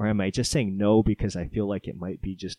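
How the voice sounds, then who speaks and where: The pace is fairly quick. It is an unremarkable speaking voice. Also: man. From Hawaii, Oahu; military childhood incl. Japan, California. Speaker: podcast co-host and guest. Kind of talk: casual interview.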